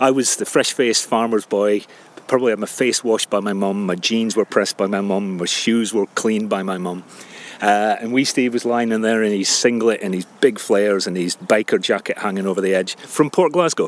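Fairly quick delivery in an unremarkable speaking voice, pitch varying in an ordinary way. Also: man, fairly low pitch for a man. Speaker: charity chief executive. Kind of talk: interview chat while walking. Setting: outdoors on a fell walk.

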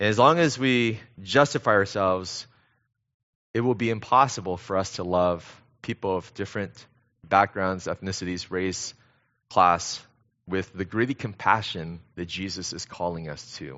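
A man's very deep, low-pitched voice with ordinary pitch variation, big swings in loudness, a moderate pace and long, frequent pauses. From US West Coast, Los Angeles area (San Gabriel Valley). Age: middle-aged. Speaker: pastor. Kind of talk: sermon. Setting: church. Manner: hesitant, with many fillers.

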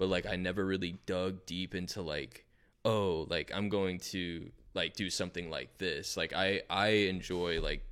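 A man with a very deep, low pitch and a bright, sharp tone is heard on a very clean recording with a silent background. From South Florida. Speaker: musician. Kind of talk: casual chat.

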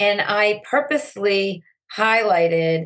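A woman talks at a medium pitch with lively intonation and an American accent. She has an unremarkable speaking voice. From US Northeast, Andover, Massachusetts. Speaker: social media educator and entrepreneur. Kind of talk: interview.

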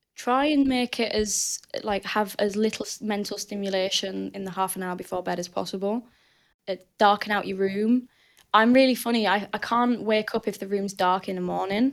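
A woman with a strong Northern English accent, medium pitch, fairly even intonation and a moderate pace. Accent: thick northern English. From northern England. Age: 20s. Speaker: weightlifter and coach. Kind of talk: casual chat.

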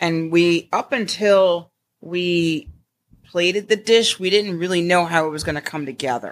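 A woman's normal speaking voice with an American accent, fairly low in pitch, fairly slow in pace, with ordinary pitch variation. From Connecticut, US Northeast. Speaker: chef. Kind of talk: interview.

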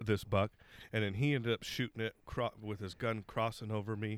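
In a normal speaking voice at medium pitch, a man talks fairly quickly, the sound dry and close with no echo. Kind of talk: casual banter. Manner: crude, joking.

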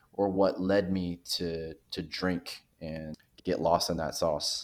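This man has a very deep, low pitch. His intonation stays fairly even, and the recording is very clean with a silent background. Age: 30s. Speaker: podcast guest in recovery, former hospitality worker. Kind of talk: casual interview chat. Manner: hesitant, many fillers.

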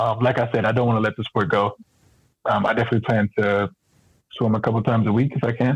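With an American accent, a man speaks at a very fast pace and a medium pitch, broken by long, frequent pauses, in a somewhat breathy voice. His intonation is monotone and flat, his loudness very even, and the sound dry and close with no echo. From San Diego, California. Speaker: Paralympic swimmer and triathlete. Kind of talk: casual interview.

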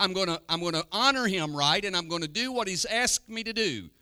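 A raised, projected voice at a moderate pace, warm in tone yet bright and sharp, with very wide pitch swings. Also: man. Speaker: pastor. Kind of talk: sermon. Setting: church. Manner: warm, earnest pulpit preaching with congregational call-and-response ("Amen?").

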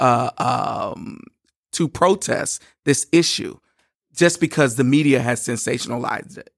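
A man with a fairly high pitch is heard in a dry, close sound with no echo, on a very clean recording with a silent background. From Louisiana, Shreveport. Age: 40s. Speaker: gospel singer. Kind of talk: casual chat. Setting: studio.

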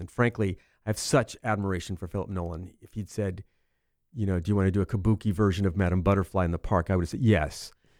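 A voice with an American accent comes through a very clean recording with a silent background and a dry, close sound with no echo. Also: man. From Central California. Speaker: speaker and actor. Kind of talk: casual interview chat. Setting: studio.

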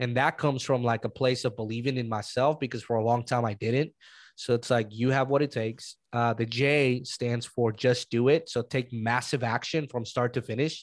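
A voice with a Spanish accent speaks at a moderate pace with hardly any pauses. The intonation is monotone and flat, in a very clean recording with a silent background. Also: man, medium pitch for a man. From Mexico. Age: 30s. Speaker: real estate investor. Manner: casual, chatty.

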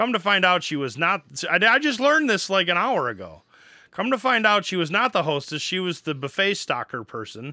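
A man's raised, projected voice with an American accent, high-pitched with a bright, sharp tone, fairly quick and swinging very widely in pitch, on a very clean recording with a silent background. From Wisconsin. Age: 40s. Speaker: podcast co-host and college teacher. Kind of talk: casual chat.

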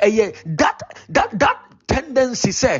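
A man's high voice with music in the background. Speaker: preacher. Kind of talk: sermon. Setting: online prayer meeting.

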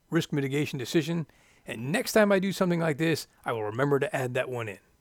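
A man with an unremarkable speaking voice and an American accent talks at a fairly quick pace, fairly high in pitch, with lively intonation. The recording is very clean, with a silent background. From Florida. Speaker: podcast host, former flight test pilot. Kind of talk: scripted narration.

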